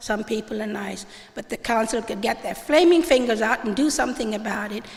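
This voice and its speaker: Noticeable background noise runs beneath talking that proceeds at a moderate pace. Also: woman. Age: 70s. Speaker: audience member at public debate. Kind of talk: public town meeting comment. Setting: church hall with audience. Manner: animated.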